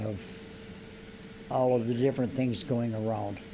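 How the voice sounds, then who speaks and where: Audible room echo surrounds a man speaking at a moderate pace in a medium-pitched, monotone voice with flat intonation. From US Midwest, Iowa. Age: 80s+. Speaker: interviewee. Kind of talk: casual chat.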